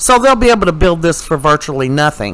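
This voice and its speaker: A man's fairly high-pitched voice with an animated tone and lively intonation, set against noticeable background noise. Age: 60s. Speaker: commentary YouTuber. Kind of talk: opinion commentary. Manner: halting.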